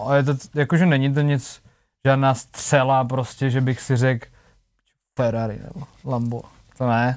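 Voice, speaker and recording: Speaking at a fairly slow pace with long, frequent pauses, a man at medium pitch keeps his intonation fairly even. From Czech Republic, small town. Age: 20s. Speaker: singer. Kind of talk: casual chat.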